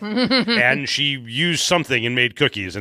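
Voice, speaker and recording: Bright and sharp in tone, a man with a Chicago accent speaks with very wide pitch swings. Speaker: trivia podcast co-host. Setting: live recording.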